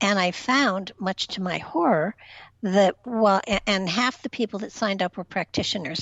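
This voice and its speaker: Her pitch is medium and her pace moderate. The woman speaks in a normal speaking voice. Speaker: spiritual empath, reiki master. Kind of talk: interview answer on talk radio.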